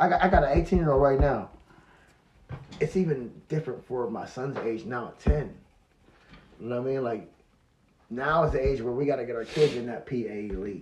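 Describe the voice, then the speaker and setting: Somewhat breathy, a man talks at a fairly quick pace with long, frequent pauses and big swings in loudness. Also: medium pitch for a man, ordinary pitch variation. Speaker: company founder and podcast guest. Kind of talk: casual chat. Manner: repetitive, halting.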